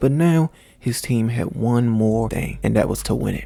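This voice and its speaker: Fairly quick speech from a man, set against background music. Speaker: gaming YouTuber. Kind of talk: game simulation commentary narration. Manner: soft-spoken.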